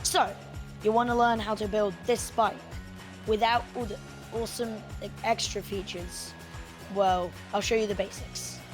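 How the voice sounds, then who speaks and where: Music plays in the background as a woman speaks at a moderate pace. She leaves long, frequent pauses. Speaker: game tutorial maker. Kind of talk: game tutorial narration.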